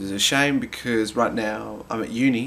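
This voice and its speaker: The pace of this man's speech is moderate. He talks with an Australian accent. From Tasmania, Australia. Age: 20s. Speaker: stand-up comedian. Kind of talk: casual talk to camera.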